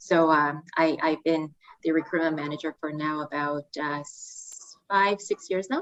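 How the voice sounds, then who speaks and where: Speaking with a Korean accent, a woman uses a fairly low pitch, ordinary pitch variation and a moderate pace. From South Korea. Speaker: student recruitment manager. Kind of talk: podcast interview. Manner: hesitant, many fillers.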